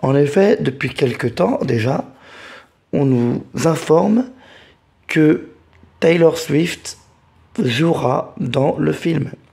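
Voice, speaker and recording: A somewhat breathy man with a dark, mellow tone at a very slow pace. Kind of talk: casual talk to camera. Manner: hesitant, repeats words.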